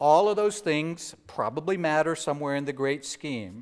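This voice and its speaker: A man speaks at a moderate pace in an ordinary speaking voice, his pitch fairly high for a man with ordinary pitch variation. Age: 60s. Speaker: bishop. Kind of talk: sermon.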